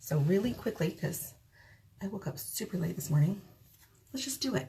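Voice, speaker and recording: Soft-spoken and somewhat breathy, a woman talks at a moderate pace. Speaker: makeup tutorial vlogger. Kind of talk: tutorial. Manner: soft-spoken, talking quietly; casual.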